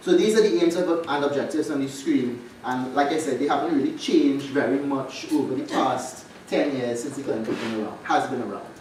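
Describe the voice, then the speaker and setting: Over noticeable background noise and audible room echo, a man talks fairly quickly in a fairly high voice with ordinary pitch variation. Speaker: law lecturer. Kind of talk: conference presentation. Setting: conference stage with audience. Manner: fast.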